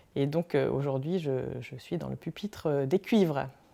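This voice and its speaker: A woman's dark, mellow tone carries lively intonation at a fairly slow pace. The recording is very clean, with a silent background. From France, Loiret. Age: 40s. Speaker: regional election candidate. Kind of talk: personal campaign portrait. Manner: hesitant, many fillers.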